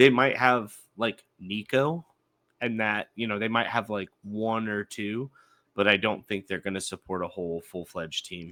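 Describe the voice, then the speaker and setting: Bright and sharp in tone, a man's fairly low voice moves at a moderate pace with ordinary pitch variation in a very clean, dry, close recording with a silent background and no echo. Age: 30s. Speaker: podcast co-host. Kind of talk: casual chat.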